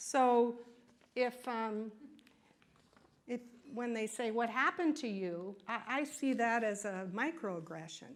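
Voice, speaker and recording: Ordinary pitch variation carries through audible room echo. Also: woman. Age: 60s. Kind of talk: lecture. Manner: conversational, frequent "right?" and "okay?" tags.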